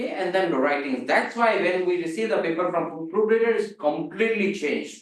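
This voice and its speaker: Speaking with a non-native accent, the voice moves at a fairly quick pace with hardly any pauses. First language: not English. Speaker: seminar lecturer. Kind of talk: lecture.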